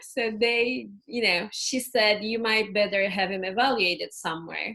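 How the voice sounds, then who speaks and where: Using ordinary pitch variation, a woman with a Turkish accent and a fairly high pitch talks at a moderate pace. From Turkey. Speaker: ADHD and family coach. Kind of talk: interview.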